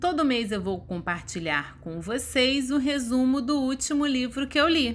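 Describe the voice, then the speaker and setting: In a Brazilian accent, a woman with a high pitch and lively intonation talks at a fairly slow pace with hardly any pauses, and audible room echo surrounds her. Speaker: book podcaster. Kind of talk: scripted narration.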